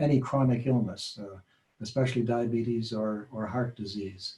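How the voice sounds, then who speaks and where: A man speaks at a moderate pace and medium pitch, his tone dark, mellow, and somewhat breathy. His intonation is monotone and flat. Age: 70s. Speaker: patient sharing health story. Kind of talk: testimony. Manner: halting.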